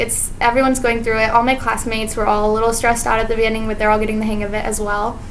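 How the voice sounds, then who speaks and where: A woman with a fairly high pitch talks at a very fast pace, with noticeable background noise and audible room echo. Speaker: medical student vlogger. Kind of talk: vlog monologue. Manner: casual, filler-heavy.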